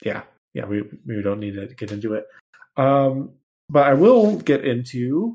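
A man with a fairly high pitch and a dark, mellow tone speaks at a fairly slow pace, his pitch swinging very widely. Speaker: podcast host. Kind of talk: casual comedic banter. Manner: animated, joking.

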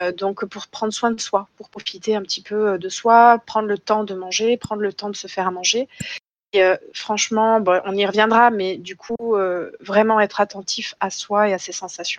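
Recorded dry and close with no echo, a woman speaks at medium pitch in a flat, monotone delivery. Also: moderate pace. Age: 30s. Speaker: psychiatrist. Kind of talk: interview.

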